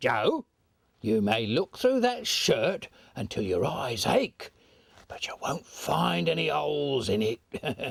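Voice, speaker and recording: A man's cackling, put-on character voice at medium pitch and a fairly slow pace. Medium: stage play. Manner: cackling, coarse.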